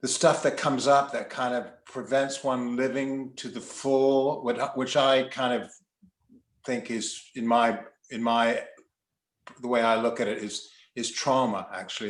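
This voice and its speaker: Using a normal speaking voice, a man talks at medium pitch and a moderate pace with fairly even intonation. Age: 60s. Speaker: psychotherapist. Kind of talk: casual chat.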